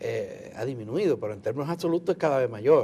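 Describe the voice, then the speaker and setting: A man's somewhat breathy voice, dark and mellow in tone, moves at a moderate pace. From Dominican Republic. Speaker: TV interviewer. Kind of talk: TV interview.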